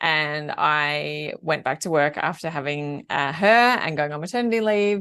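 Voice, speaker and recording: A woman with an Australian accent speaks at a fairly slow pace with hardly any pauses and a very deep, low pitch. Her intonation is lively, and the background is quiet. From Australia, Melbourne. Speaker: work-life balance coach. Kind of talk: podcast interview.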